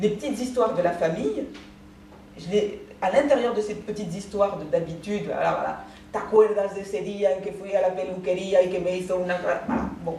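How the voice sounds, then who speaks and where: A woman talks at a fairly quick pace in a medium pitch with ordinary pitch variation, with audible room echo and noticeable background noise. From France, Paris. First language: Spanish (Judeo-Spanish) (speaking French). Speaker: author. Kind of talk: talk to school class with reading aloud. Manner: halting.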